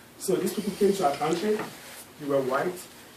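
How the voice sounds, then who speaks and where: Speaking at a fairly quick pace, a man with a high pitch and ordinary pitch variation is heard amid noticeable background noise and audible room echo. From Nigeria. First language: Nigerian native language. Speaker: guest speaker at a school class. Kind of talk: classroom presentation with Q&A.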